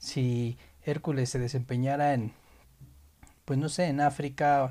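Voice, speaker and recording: A dark, mellow tone with fairly even intonation. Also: man. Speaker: podcast co-host. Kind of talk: casual chat.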